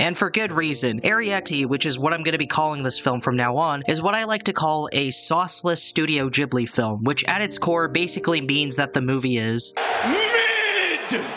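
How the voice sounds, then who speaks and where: A man's fairly high voice at a moderate pace, with lively intonation, very even loudness, hardly any pauses and noticeable background noise. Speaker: film reviewer. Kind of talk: video essay narration. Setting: home recording, low-quality mic. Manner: casual, sarcastic.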